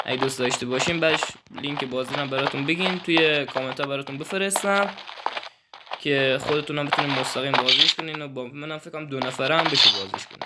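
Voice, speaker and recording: Amid noticeable background noise, a man with a fairly high pitch talks very fast with ordinary pitch variation. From Iran, Kerman. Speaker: gaming YouTuber. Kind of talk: channel introduction; gameplay commentary. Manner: stumbling over words; casual, informal.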